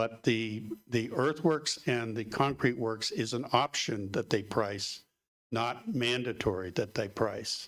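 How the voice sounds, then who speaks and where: Ordinary pitch variation marks a man's speech at a very slow pace. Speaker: construction professional, public commenter. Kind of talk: public board meeting. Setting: meeting room, livestreamed. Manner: loud; halting, many fillers.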